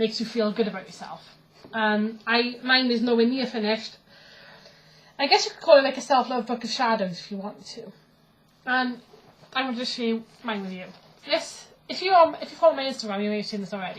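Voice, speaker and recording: Fairly quick delivery with big swings in loudness, long and frequent pauses, ordinary pitch variation, and noticeable background noise. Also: woman, fairly high pitch for a woman. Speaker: pagan vlogger. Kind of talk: casual vlog. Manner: fast.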